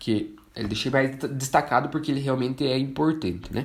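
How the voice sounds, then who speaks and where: Here is a man at medium pitch. Audible room echo is present. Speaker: forestry engineer and instructor. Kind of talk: online lecture.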